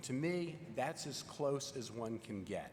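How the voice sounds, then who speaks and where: The speaker has a Virginia accent and lively intonation at a fairly slow pace. Background noise is noticeable. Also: man. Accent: Virginia Southern American. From Richmond, Virginia, US South. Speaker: legal scholar witness. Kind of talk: congressional hearing testimony.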